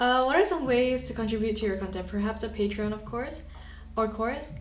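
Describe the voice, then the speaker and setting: A woman talks at a fairly quick pace with a fairly high pitch, over noticeable background noise and audible room echo. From Malaysia. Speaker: filmmaker and YouTuber. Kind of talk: livestream chat. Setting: livestream. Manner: casual, hesitant with fillers.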